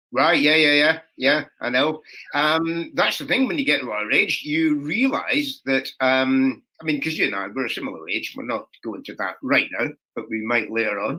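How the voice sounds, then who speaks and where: With a Scottish accent, a man talks in a fairly high voice at a moderate pace with ordinary pitch variation. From Scotland. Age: 60s. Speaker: comedian. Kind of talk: casual chat.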